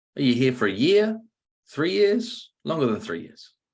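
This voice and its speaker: With a British accent, a man speaks with very wide pitch swings. The background is quiet. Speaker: sales trainer and author. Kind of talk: podcast interview with sales role-play.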